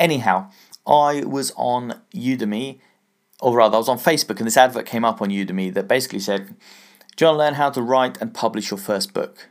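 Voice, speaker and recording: A man with an English accent speaks at a fairly quick pace, with ordinary pitch variation and long, frequent pauses. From England. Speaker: business podcast host. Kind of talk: solo podcast monologue. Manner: casual, conversational.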